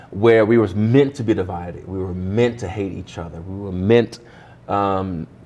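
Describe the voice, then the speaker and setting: Very deep, low male voice, fairly even in intonation, with audible room echo around it. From Ohio, US Midwest. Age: 30s. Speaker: pastor. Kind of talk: interview conversation. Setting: church.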